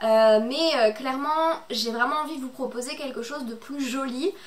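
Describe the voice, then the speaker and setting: High pitch from a woman, varying in an ordinary way. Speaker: booktuber. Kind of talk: casual chat. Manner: hesitant, many filler words.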